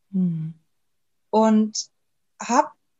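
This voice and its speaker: A woman speaks with lively intonation. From Germany. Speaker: naturopath and podcaster. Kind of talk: interview.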